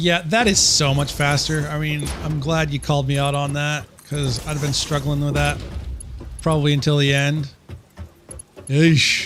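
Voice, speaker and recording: With music in the background, a man talks at a moderate pace and fairly high pitch, using fairly even intonation and long, frequent pauses. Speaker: gaming streamer. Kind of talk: live gameplay stream commentary. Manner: casual, self-talking.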